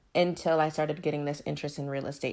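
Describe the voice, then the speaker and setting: The voice sounds animated and carries vocal fry. The recording is very clean, with a silent background. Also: woman. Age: 20s. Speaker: podcast host. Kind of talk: casual monologue.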